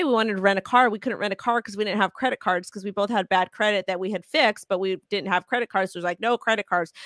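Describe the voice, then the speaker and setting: A dry, close sound with no echo, ordinary pitch variation, on a very clean recording with a silent background. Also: woman. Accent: American. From Los Angeles, California. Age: 30s. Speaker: crypto influencer. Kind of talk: casual interview. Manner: halting.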